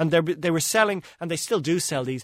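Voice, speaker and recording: On a very clean recording with a silent background, a man speaks with an Irish accent. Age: 40s. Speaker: travel writer. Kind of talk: radio interview.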